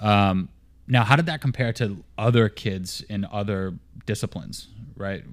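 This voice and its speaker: Here a man speaks in a Boston accent at a fairly low pitch. The recording is very clean, with a silent background. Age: 30s. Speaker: podcast host. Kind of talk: casual interview chat. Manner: energetic, motivational.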